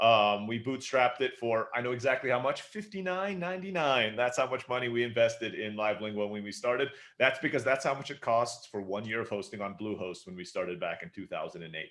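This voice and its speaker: Speaking at a fairly quick pace with hardly any pauses, a man keeps his intonation lively. His pitch is medium, and his loudness swings widely. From Istanbul, Turkey (American parents). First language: Turkish. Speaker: entrepreneur. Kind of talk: podcast interview.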